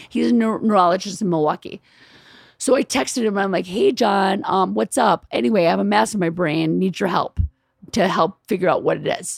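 Speaking at a fairly quick pace, a woman with a medium pitch, lively intonation and vocal fry comes through with dry, close sound and no echo. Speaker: writer and producer, comedian's wife. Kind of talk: casual chat. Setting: in a home.

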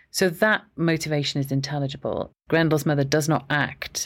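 Speaking with a Welsh accent, a woman uses a very deep, low voice with fairly even intonation. The recording is very clean, with a silent background. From Wales, Aberystwyth. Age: 50s. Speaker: professor. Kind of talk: interview.

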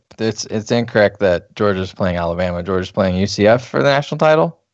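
Using a normal speaking voice, a man speaks with a fairly low pitch and lively intonation. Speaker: podcast host, college football writer. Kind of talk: casual sports banter podcast.

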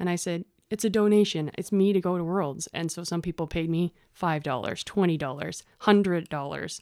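On a very clean recording with a silent background, a woman with a Canadian accent speaks at a moderate pace and a fairly low pitch, with hardly any pauses. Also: ordinary pitch variation. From Ontario, Canada. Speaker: firefighter and fitness competitor. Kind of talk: interview.

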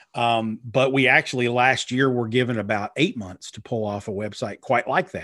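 In a very clean recording with a silent background, a man with an unremarkable speaking voice talks at a moderate pace and medium pitch, his intonation fairly even. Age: 40s. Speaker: PR and digital marketing strategist, author. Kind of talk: interview. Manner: many fillers and repetitions.

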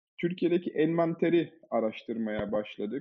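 The speaker is a man. His intonation is lively. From Germany. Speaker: management consultant and AI initiative founder. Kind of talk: podcast interview. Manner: many filler hesitations.

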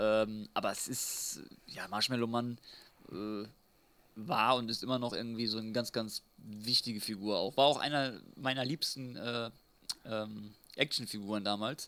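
A man's bright, sharp, medium-pitched voice, fairly slow and fairly even in intonation, with long, frequent pauses. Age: 30s. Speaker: podcast co-host, retro fan. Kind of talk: casual chat.

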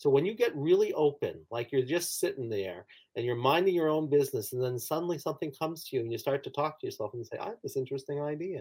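Somewhat breathy, a man talks at a very fast pace in a fairly high pitch with lively intonation. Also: hardly any pauses. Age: 60s. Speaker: clinical psychologist and author. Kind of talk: interview about his book.

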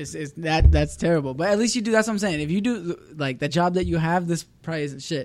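Barely pausing, a man with a high pitch and ordinary pitch variation talks at a very fast pace. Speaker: podcast host. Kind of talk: casual chat.

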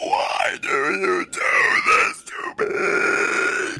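A man adopts a put-on character voice pitched extremely high.

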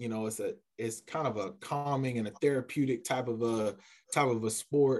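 This man has a normal speaking voice with an American accent. His pitch is medium and his intonation fairly even. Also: moderate pace. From US South, Columbia, South Carolina. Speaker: college athletics administrator. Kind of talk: casual interview.

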